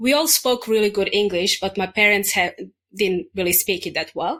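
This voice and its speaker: A woman speaks at a medium pitch with a Serbian accent. The recording is very clean, with a silent background. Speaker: English teacher and podcaster. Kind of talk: casual interview chat.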